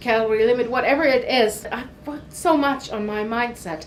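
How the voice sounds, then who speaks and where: A woman with a non-native accent talks at a moderate pace over noticeable background noise. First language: not English. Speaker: weight loss vlogger. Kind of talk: casual talk to camera.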